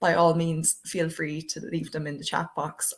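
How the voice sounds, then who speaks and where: Speaking in an Irish accent at a moderate pace, a woman uses a very deep, low pitch with monotone, flat intonation. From Ireland. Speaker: diversity project coordinator. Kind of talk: webinar presentation. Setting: online webinar. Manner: hesitant, many fillers.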